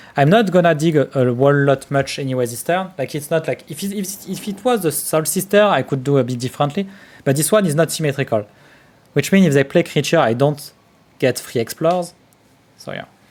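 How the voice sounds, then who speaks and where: The speaker has a strong French accent and ordinary pitch variation. The pace is fairly quick. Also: man, fairly high pitch for a man. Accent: strong French accent, self-described terrible. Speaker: card game streamer. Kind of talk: live gameplay commentary.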